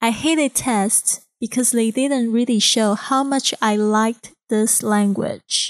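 In a very clean recording with a silent background, a woman speaks very slowly at a fairly high pitch with a Chinese accent. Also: dry, close sound with no echo. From Taiwan (Kaohsiung). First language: Mandarin Chinese. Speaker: podcast host, English teacher. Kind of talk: podcast monologue; recorded speech to a club.

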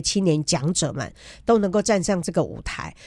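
A woman talks in a normal speaking voice at a medium pitch. Her pace is moderate and her pitch varies an ordinary amount. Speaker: journalist and biographer. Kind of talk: radio interview.

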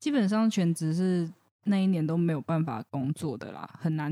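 Dark, mellow tone at a moderate pace, in a very clean recording with a silent background. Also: woman. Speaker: counseling psychologist. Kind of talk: casual chat.

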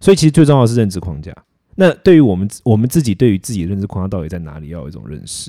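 A man's dark, mellow voice at a very fast pace, with very wide pitch swings, in a very clean recording against a silent background. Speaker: philosophy YouTuber and podcast co-host. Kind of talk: casual chat.

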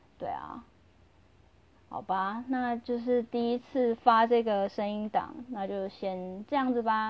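A loud woman's voice at a fairly high pitch. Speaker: podcaster. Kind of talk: casual monologue. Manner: normally loud; normally lively.

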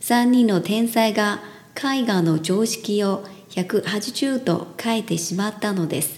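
A woman at a very slow pace with ordinary pitch variation, over noticeable background noise. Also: medium pitch for a woman. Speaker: Japanese language teacher. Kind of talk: language lesson. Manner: halting.

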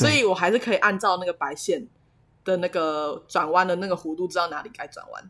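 The recording is very clean with a silent background. A woman of medium pitch speaks at a moderate pace in a bright, sharp tone. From central/southern Taiwan. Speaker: podcast co-host. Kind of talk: casual chat.

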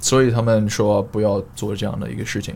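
Speaking with a non-native accent, a man talks at a fairly quick pace and medium pitch. His intonation is monotone and flat. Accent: foreign accent in Mandarin. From Australia, Queensland (Sunshine Coast). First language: English (speaking Chinese). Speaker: fitness coach and fitness blogger. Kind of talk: casual interview chat. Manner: halting, many fillers and code-switching to English.

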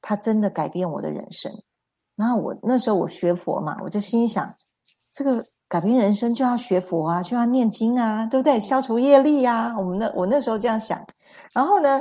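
A woman speaks at a moderate pace with a fairly high pitch and ordinary pitch variation. Her voice is somewhat breathy, with big swings in loudness. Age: 50s. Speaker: spiritual self-help teacher. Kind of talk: livestream lecture.

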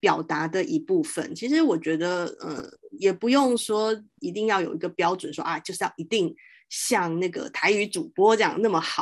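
Against a quiet background, a woman speaks at a moderate pace with a medium pitch and very wide pitch swings. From Taiwan, Taoyuan. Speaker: podcast host. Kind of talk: interview conversation. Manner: hesitant, many fillers.

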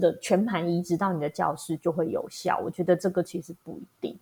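Her somewhat breathy voice, medium in pitch with ordinary variation, moves at a moderate pace as this woman speaks. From Taiwan, Hualien. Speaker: primary school teacher. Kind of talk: interview.

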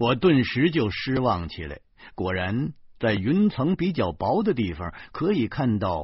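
The clip features reading. The voice doing it is natural.

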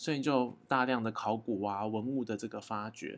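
A man with vocal fry talks at a moderate pace. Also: very clean recording, silent background. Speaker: daily podcast host. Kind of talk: casual monologue. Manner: chatty with many fillers.

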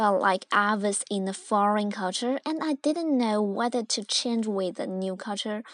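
In a Chinese accent, a woman speaks with a fairly high pitch and ordinary pitch variation, recorded dry and close with no echo against a quiet background. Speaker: student video-channel host.

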